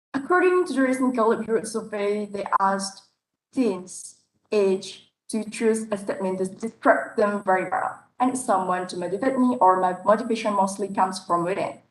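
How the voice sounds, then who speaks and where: Speaking in a non-native accent, a woman keeps a moderate pace and medium pitch with ordinary pitch variation. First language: not English. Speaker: public speaking competition contestant. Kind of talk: competition speech. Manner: halting.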